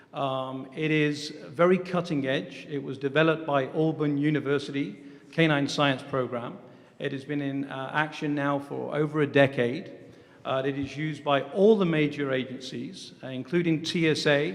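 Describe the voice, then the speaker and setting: A man with an English accent, fairly high-pitched, with fairly even intonation. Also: moderate pace. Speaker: security dog company president. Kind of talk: formal briefing. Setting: government commission hearing. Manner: hesitant with fillers.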